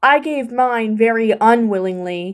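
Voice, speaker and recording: Pitched fairly high, this woman delivers her lines in a put-on character voice. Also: moderate pace. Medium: read story.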